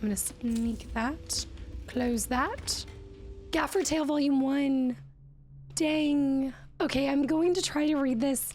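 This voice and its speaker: A woman's high-pitched, enthusiastic voice at a fairly slow pace, with ordinary pitch variation and music in the background. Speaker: gaming content creator. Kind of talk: let's play gaming commentary. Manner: enthusiastic, chatty.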